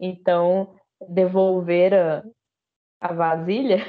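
Here a woman talks. She keeps her intonation monotone and flat. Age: 20s. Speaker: history teacher. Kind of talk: casual chat. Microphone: voice cutting out.

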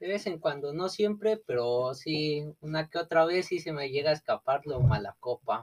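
An unremarkable speaking voice moves at a moderate pace with hardly any pauses, in a dry, close sound with no echo. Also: man, fairly high pitch for a man, ordinary pitch variation. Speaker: guest. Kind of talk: casual chat.

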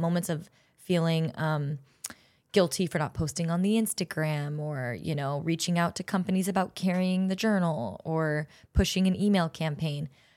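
A woman with an American accent has a normal speaking voice, a fairly low pitch with ordinary pitch variation, and a fairly quick pace. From Southern California, Orange County. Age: 20s. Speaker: podcast host and actress. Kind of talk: interview podcast, casual chat.

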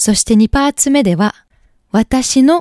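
In a very clean recording with a silent background and a dry, close sound with no echo, a dark, mellow voice speaks at a moderate pace. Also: woman. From France (Paris). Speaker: podcast host, singer-songwriter. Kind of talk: casual interview. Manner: halting.

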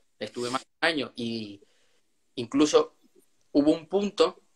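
Here a man talks at a fairly high pitch with lively intonation. His pace is fairly slow. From Venezuela. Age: young. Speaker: young author. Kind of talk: interview.

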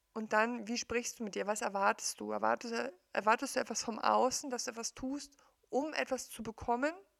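A woman with an unremarkable speaking voice and a fairly high pitch talks at a moderate pace with fairly even intonation, in a dry, close sound with no echo. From East Germany. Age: 40s. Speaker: coach / podcaster. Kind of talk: personal monologue. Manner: conversational, with many fillers.

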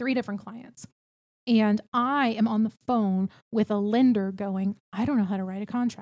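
A woman with an American accent and a normal speaking voice, fairly high in pitch with fairly even intonation, at a moderate pace, in a dry, close sound with no echo. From Texas, small town near Houston. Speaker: real estate team leader and recruiter. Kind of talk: casual chat. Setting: office.

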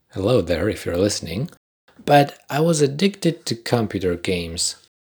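This man speaks with a Polish accent and very wide pitch swings, on a very clean recording with a silent background. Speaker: podcast host. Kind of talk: scripted monologue.

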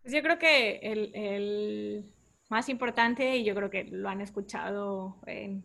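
A woman's medium-pitched voice in a northern Mexican accent at a very slow pace, on a very clean recording with a silent background. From Tamaulipas, Mexico (Mante). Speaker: civil engineer. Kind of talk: interview.

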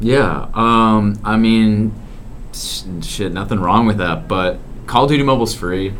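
A man talks with ordinary pitch variation, and noticeable background noise can be heard. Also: fairly slow pace. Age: young. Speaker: college student podcaster. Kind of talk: casual chat. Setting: dorm floor at night.

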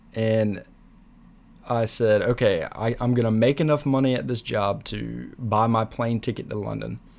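Using a normal speaking voice, a man talks at a fairly slow pace, with medium pitch and fairly even intonation. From US South, South Carolina. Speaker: podcaster and university student. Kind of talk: solo podcast monologue.

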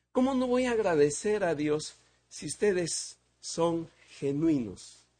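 A man with a dark, mellow tone and a high pitch talks at a very slow pace, leaving long, frequent pauses. His pitch swings very widely and his loudness rises and falls a great deal against a quiet background. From Peru. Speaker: visiting preacher. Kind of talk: sermon.

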